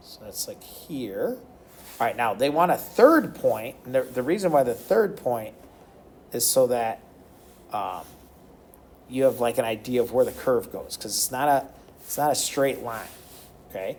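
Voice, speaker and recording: At a moderate pace, a man talks in a medium pitch, leaving long, frequent pauses. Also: ordinary pitch variation, big swings in loudness. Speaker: math teacher. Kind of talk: recorded math lesson tutorial.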